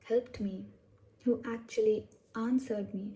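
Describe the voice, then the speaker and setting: A woman's fairly high, somewhat breathy voice with a dark, mellow tone, at a fairly slow pace. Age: adult, over 21. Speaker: tarot reader. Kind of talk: casual talk to camera.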